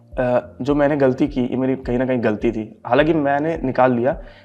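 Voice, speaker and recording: Music plays in the background as a man talks at medium pitch. His intonation stays fairly even and his pace is moderate. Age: 20s. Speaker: bank exam topper. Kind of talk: interview.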